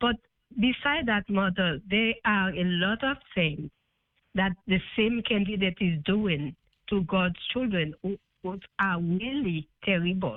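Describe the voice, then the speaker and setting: The speaker has a non-native accent. The pace is very slow. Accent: foreign. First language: not English. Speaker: caller. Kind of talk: phone call-in question. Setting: phone call. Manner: hesitant.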